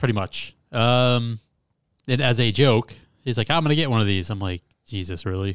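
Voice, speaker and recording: At a moderate pace and with long, frequent pauses, a man talks at a medium pitch with ordinary pitch variation, in a very clean recording with a silent background. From Metro Detroit, Michigan. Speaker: podcast guest. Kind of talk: casual chat.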